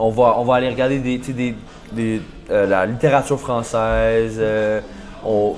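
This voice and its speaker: A man speaks over noticeable background noise. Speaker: university football player. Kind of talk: casual interview. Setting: podcast. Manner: halting, many repetitions and fillers.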